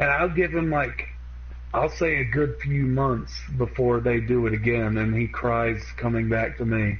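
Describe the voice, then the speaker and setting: A man with a Southern US accent at a fairly slow pace, with very even loudness and audible room echo. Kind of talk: casual chat.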